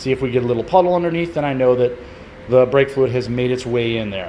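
Light background noise sits behind a man who speaks with ordinary pitch variation. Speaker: hobby mechanic channel host. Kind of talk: casual vlog chat. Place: garage. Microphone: phone near.

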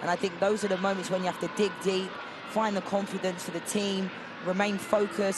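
An enthusiastic voice rushes along at a very fast pace over noticeable background noise. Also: man. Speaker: color commentator. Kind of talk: sports commentary, analytical color commentary breaking down replays. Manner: enthusiastic, repeats superlatives like fantastic and brilliant; conversational, frequent 'you know' fillers.

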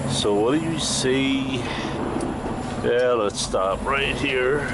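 Loud background noise runs under speech delivered at a very slow pace. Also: man. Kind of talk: casual vlog chat. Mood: joking, sarcastic. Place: car. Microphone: phone near.

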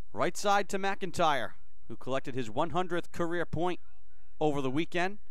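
Dry sound with no echo over a quiet background. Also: moderate pace. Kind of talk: live sports commentary. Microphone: headset.

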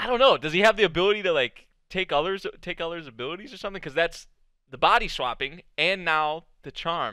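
A man talks at a fairly quick pace with lively intonation and big swings in loudness. The sound is dry with no echo, and the background is quiet. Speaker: anime reactor. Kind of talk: reaction commentary. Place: home room. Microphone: headset.

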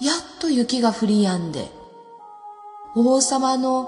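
Music plays in the background as the speaker talks with a Nagasaki accent. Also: woman. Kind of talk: folk tale storytelling.

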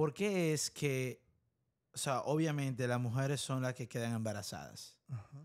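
This man talks at a fairly slow pace with a medium pitch and ordinary pitch variation over a quiet background. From Dominican Republic. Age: 20s. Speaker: podcast host. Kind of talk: casual interview. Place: studio. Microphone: studio mic.

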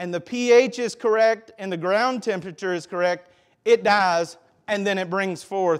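Against a quiet background, a man with a Southern US accent talks with ordinary pitch variation. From US South. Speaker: pastor; preacher. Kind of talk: sermon. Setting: church. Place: church.

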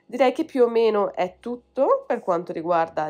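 Using an ordinary speaking voice, a woman talks at a moderate pace with a fairly high pitch and lively intonation. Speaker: language teacher and YouTuber. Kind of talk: tutorial.

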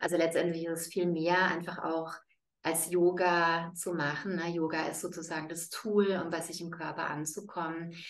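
With a fairly low pitch, a woman speaks in a monotone, flat intonation. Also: moderate pace. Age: 40s. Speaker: yoga teacher. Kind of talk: interview. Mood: warm, smiling. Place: home room. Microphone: webcam.

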